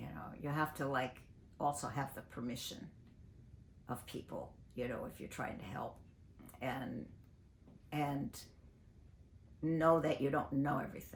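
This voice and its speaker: A woman with an American accent speaks at a fairly slow pace, her very deep, low voice showing vocal fry. Her loudness swings widely, and she leaves long, frequent pauses. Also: ordinary pitch variation. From US Pacific Northwest, Portland, Oregon. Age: 80s+. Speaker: singer and activist. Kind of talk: interview. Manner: halting.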